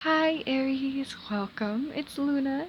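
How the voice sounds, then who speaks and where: Lively intonation marks a woman's fairly slow speech. Noticeable background noise can be heard too. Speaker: tarot reader. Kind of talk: tarot reading. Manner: stuttering a little; casual, filler-heavy.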